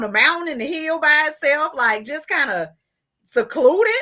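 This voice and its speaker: A woman with a strong Southern US accent uses a raised, projected voice, animated and bright, with a sharp tone, a high pitch and very wide pitch swings. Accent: thick Southern country. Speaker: interviewer. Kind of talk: casual chat.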